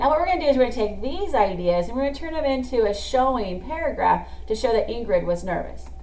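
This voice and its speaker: Music plays in the background as a woman talks at a very fast pace with hardly any pauses, amid audible room echo. Her high voice swings very widely in pitch. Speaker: teacher. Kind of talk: classroom lesson video.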